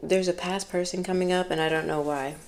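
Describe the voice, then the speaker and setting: A woman with an ordinary speaking voice and a fairly low pitch talks at a moderate pace with fairly even intonation. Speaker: tarot reader. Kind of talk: tarot reading.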